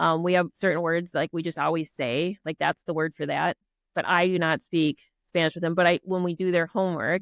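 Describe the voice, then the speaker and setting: In a dry, close sound with no echo and a quiet background, a woman speaks at a fairly quick pace in a monotone, flat intonation at a fairly low pitch. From Minnesota (Prior Lake). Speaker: army officer and business owner. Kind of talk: podcast interview.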